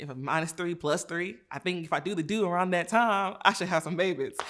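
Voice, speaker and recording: The recording is very clean, with a silent background. A woman talks in an ordinary speaking voice with ordinary pitch variation. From United States, several states (born in Nigeria, moved at four). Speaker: physician. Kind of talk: interview, personal testimony.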